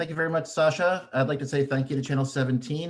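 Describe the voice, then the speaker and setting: At a very fast pace, a man talks in a somewhat breathy, medium-pitched voice. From Vermont, Burlington. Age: 40s. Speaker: mayoral candidate. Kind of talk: debate opening statement.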